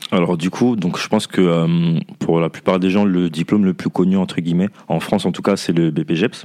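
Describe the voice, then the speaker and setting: Speaking at a moderate pace, a man with a very deep, low voice keeps his intonation fairly even while noticeable background noise plays. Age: 30s. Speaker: fitness coach. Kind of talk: casual chat.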